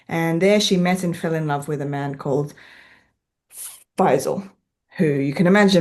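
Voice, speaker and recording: Speaking with an Australian accent, a woman uses lively intonation and a fairly low pitch at a fairly quick pace. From Western Australia (Perth). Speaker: author. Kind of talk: author talk presentation.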